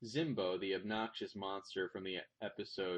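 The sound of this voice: Fairly even intonation runs through this delivery. It is an unforced reading voice.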